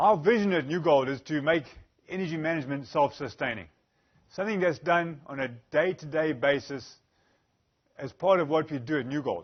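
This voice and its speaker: A man with a Zimbabwean accent speaks at a fairly quick pace in a fairly high pitch, with ordinary pitch variation and long, frequent pauses. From Zimbabwe, Bulawayo. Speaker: energy specialist, engineer. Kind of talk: conference presentation.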